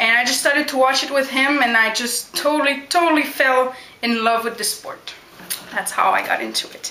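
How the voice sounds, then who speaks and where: A woman's raised, projected voice, high in pitch with ordinary pitch variation, amid noticeable background noise and audible room echo. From Quebec, Canada (Montreal). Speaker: backyard wrestler. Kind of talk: Q&A vlog.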